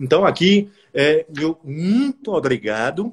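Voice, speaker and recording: This man's voice sits high and makes very wide swings in pitch. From Brazil, Bahia (Salvador). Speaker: law professor and prosecutor, interviewer. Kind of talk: casual interview on a live stream. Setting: Instagram live stream.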